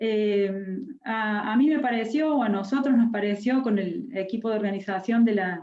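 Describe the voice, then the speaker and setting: Speaking at a moderate pace with a Córdoba accent, a woman has a fairly high pitch, ordinary pitch variation and a dark, mellow tone. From Córdoba, Argentina. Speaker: university education speaker. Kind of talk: lecture. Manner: hesitant, many fillers.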